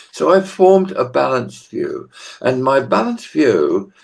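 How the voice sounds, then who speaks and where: A man talks at a fairly slow pace. He has a British accent. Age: 80s+. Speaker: business executive and university teacher. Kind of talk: podcast interview.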